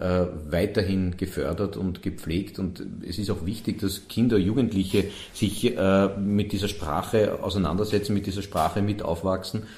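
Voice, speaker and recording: Very deep and low, the man's somewhat breathy voice has a dark, mellow tone and fairly even intonation, with audible room echo. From Vienna, Sievering. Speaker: festival director. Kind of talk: interview. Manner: halting.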